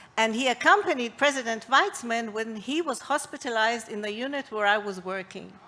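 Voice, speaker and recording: The tone is bright and sharp, with lively intonation. Delivery runs at a moderate pace. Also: woman. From London, England. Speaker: ICU physician. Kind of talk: prepared talk.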